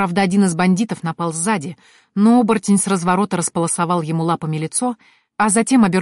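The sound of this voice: An unforced reading voice carries ordinary pitch variation. The background is quiet.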